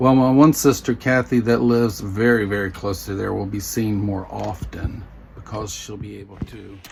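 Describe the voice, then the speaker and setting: With a Southern US accent, a man speaks at a moderate pace in a fairly low pitch and ordinary pitch variation, against noticeable background noise. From US South. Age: 60s. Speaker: vlogger. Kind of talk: personal vlog. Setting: home bedroom. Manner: halting.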